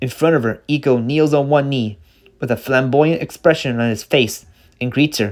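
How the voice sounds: The text comes through in a natural reading voice.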